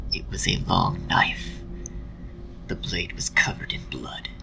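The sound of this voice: A man whispers at a slow pace.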